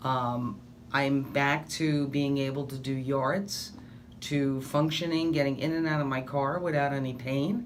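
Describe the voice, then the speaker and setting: With audible room echo, a woman speaks at a fairly slow pace in a very deep, low pitch with ordinary pitch variation. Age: 60s. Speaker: patient. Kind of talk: testimony. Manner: animated.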